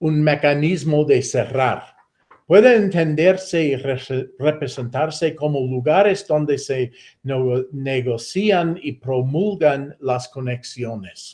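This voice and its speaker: A man with an American accent talks at a very slow pace, his voice fairly high in pitch and somewhat breathy. The background is quiet. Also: ordinary pitch variation. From United States. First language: English (speaking Spanish). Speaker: professor. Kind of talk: lecture. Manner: halting, many self-corrections.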